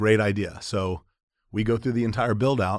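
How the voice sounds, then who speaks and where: With an American accent, a man speaks in an ordinary speaking voice at a fairly low pitch on a very clean recording with a silent background. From Florida, St. Petersburg. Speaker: restaurant entrepreneur. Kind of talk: interview.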